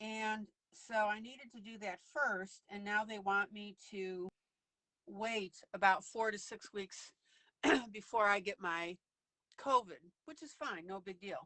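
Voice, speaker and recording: A woman's unremarkable speaking voice at medium pitch, with ordinary pitch variation, a fairly slow pace and big swings in loudness. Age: 60s. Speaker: online coloring teacher. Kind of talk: casual chat. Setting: live video stream.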